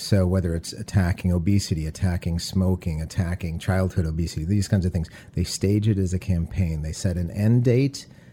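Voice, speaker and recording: At a fairly quick pace, a man with an American accent speaks in a very deep, low voice that is somewhat breathy. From Detroit, Michigan, US. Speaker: architect and urban planner. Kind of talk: interview.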